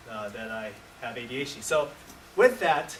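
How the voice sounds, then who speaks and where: Audible room echo and noticeable background noise surround the recording. A man speaks at a fairly slow pace. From US, born in Taiwan, moved at age two. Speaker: workshop presenter, educator. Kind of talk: conference workshop presentation. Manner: halting, many fillers and restarts.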